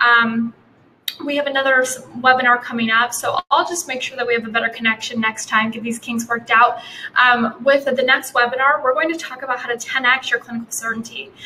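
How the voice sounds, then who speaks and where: Over noticeable background noise, a woman with a high pitch talks at a fairly quick pace. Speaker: posture educator, doctor. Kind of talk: live webinar with chat Q&A. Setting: live stream webinar. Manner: fast; animated.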